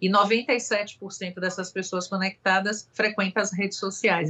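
A woman talks at medium pitch in a Bahian accent. Her intonation is monotone and flat. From Salvador, Bahia, Brazil. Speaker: marketing agency executive. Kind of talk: casual chat. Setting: video call.

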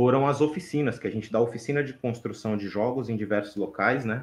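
A man talks at a moderate pace in a plain, everyday voice, with ordinary pitch variation. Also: quiet background. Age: 30s. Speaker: game maker and cultural educator. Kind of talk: casual chat.

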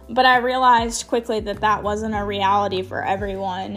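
A woman with an American accent, fairly high in pitch, fairly even in intonation, at a moderate pace, amid audible room echo. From US Midwest, Chicago suburbs. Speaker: college student. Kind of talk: casual personal testimony. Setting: at home.

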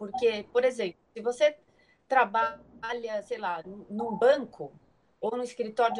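A woman with a fairly high pitch at a very slow pace. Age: 30s. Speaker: image consultant and personal stylist. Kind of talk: casual interview on a live stream.

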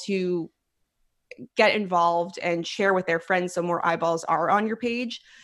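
This woman has an unremarkable speaking voice, talking at a moderate pace with ordinary pitch variation against a quiet background. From Philadelphia, US. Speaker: food blogger and restaurant coach. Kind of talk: casual interview.

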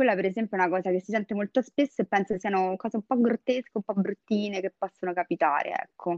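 Woman at medium pitch, very fast and with hardly any pauses, ordinary pitch variation, in a dry, close sound with no echo. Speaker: Instagram creator. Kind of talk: casual chat about dating and sex. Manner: tender when recalling a memory.

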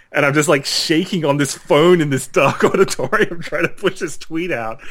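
Talking at a fairly quick pace, a man speaks in an Australian accent. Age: 30s. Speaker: game developer. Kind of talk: casual chat.

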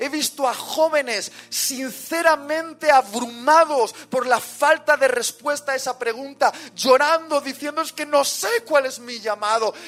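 With noticeable background noise behind him, a man with an extremely high pitch talks at a fairly slow pace in an animated tone, with ordinary pitch variation and hardly any pauses. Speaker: preacher. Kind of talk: sermon.

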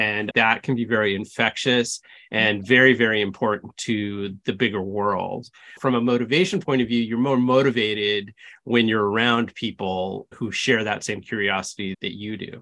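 This man has an ordinary speaking voice at a medium pitch, with fairly even intonation. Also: moderate pace. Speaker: podcast host. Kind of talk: casual interview.

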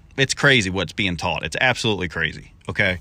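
Very fast and raised, a man projects his voice in a bright, sharp tone, recorded very cleanly against a silent background. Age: 30s. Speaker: cleaning business owner and podcast host. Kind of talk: casual solo podcast talk. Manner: casual with many filler words.

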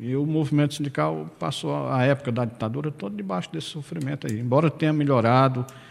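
Very fast pace with lively intonation and hardly any pauses. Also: man, medium pitch for a man. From Ceará, Brazil (Irauçuba). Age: 50s. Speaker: former rural union leader and local politician. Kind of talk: radio interview. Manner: halting, with repetitions.

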